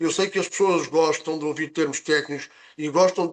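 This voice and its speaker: A man speaks in a monotone. His intonation stays flat throughout. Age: 60s. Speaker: nurse presenting health product session. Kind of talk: online presentation. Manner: halting with fillers.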